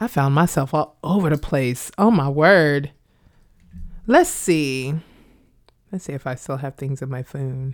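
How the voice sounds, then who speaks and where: A woman with an American accent and a very deep, low pitch, fairly slow with long, frequent pauses and ordinary pitch variation, in a very clean recording with a silent background. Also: big swings in loudness. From Kansas, Wichita. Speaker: performance artist and educator, Air Force veteran. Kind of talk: interview testimony.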